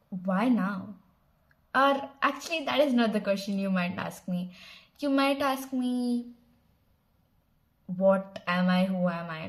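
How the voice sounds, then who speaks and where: A woman with a Telugu accent speaks at medium pitch in a somewhat breathy voice, using lively intonation at a fairly slow pace with long, frequent pauses. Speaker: channel founder and vlogger. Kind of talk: casual vlog introduction. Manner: casual with fillers and restarts.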